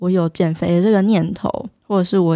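Speaking with a Taiwanese accent, a woman has a medium pitch and a dark, mellow tone. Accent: Taiwanese Mandarin. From Taiwan, Taichung (Dajia). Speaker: podcast host and fitness influencer. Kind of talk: solo podcast talk.

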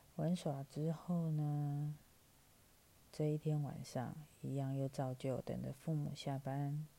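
In a Taiwanese accent, the voice moves at a very slow pace with long, frequent pauses, a dark, mellow tone and monotone, flat intonation. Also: woman, very deep, low pitch for a woman. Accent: Taiwanese Mandarin. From Taiwan, Taipei. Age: 40s. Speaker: podcast host. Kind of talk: storytelling. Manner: casual with many fillers.

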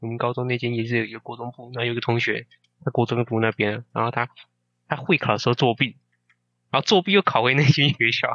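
Bright, sharp man's voice at a medium pitch, very fast pace with long, frequent pauses, and a dry, close sound with no echo. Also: ordinary pitch variation. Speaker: podcast co-host, university student. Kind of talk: casual chat.

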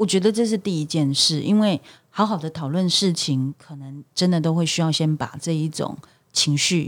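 A woman with a fairly low pitch and a normal speaking voice talks at a moderate pace with ordinary pitch variation in a very clean recording with a silent background. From Taiwan. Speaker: lawyer, human rights worker. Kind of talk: casual discussion.

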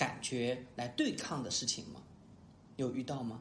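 A man talks at a moderate pace with a medium pitch and a somewhat breathy sound. Room echo is audible. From Sichuan, China. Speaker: podcast host. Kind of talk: casual chat.

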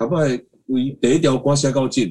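Speaking at a moderate pace, a man has a medium-pitched, dark, mellow tone. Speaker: singer-songwriter. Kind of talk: interview. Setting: video call.

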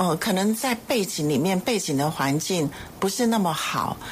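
Over noticeable background noise, a woman talks at a moderate pace. Her fairly low pitch carries lively intonation. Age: 60s. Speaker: foundation executive director. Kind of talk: radio interview. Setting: studio.

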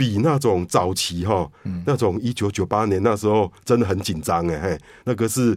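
This man has a plain, everyday voice, fairly low in pitch with ordinary pitch variation, speaking at a moderate pace on a very clean recording with a silent background. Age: 50s. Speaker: investment newsletter editor. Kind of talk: radio interview.

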